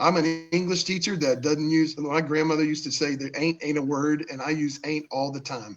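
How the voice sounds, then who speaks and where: With music playing in the background, a man talks at a fairly quick pace and fairly high pitch, his intonation fairly even and hardly any pauses between words. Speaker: teacher and football coach. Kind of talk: casual chat. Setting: live video stream. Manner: casual, slangy.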